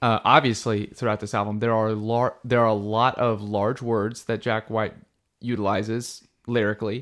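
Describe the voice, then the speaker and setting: A man with a plain, everyday voice and medium pitch speaks at a moderate pace against a quiet background. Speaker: podcast host. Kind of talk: casual chat. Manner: casual, chatty.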